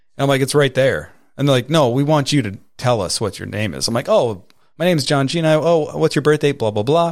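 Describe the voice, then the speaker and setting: Using a plain, everyday voice, a man talks at a fairly quick pace and medium pitch with ordinary pitch variation. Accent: American. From New York. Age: 30s. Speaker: podcast host. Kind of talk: casual chat.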